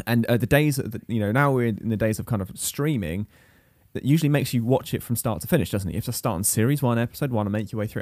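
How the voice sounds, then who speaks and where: Very fast speech from a man, in a very clean recording with a silent background. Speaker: podcast host. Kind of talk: casual banter podcast. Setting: home spare bedroom recording. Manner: joking, playful.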